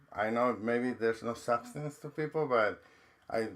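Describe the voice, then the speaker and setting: A medium-pitched man at a moderate pace, in a Mexican accent. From Mexico. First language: Spanish. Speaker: trauma counselor and university dean. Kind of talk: podcast interview.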